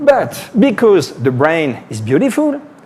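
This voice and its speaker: A man with a French accent, high in pitch, with very wide pitch swings and a fairly slow pace. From France. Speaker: neurosurgeon. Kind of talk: lecture. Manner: animated.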